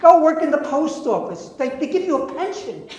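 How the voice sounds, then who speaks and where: A man speaks at a moderate pace with lively intonation. Audible room echo and noticeable background noise are present. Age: 70s. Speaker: real estate investor. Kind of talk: lecture. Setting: classroom with audience. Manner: animated.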